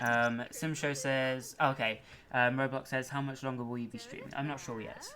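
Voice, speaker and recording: Noticeable background noise sits behind a speaker with a British accent who talks at a moderate pace in a monotone, flat intonation. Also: man, medium pitch for a man. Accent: British accent, noted by viewers. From Britain. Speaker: gaming streamer. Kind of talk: livestream commentary. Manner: halting.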